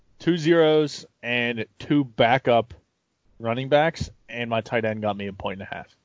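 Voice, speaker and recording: Using an ordinary speaking voice, the speaker goes at a fairly slow pace with ordinary pitch variation and big swings in loudness. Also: man, medium pitch for a man. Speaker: podcast co-host. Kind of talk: casual banter over beers, fantasy football talk.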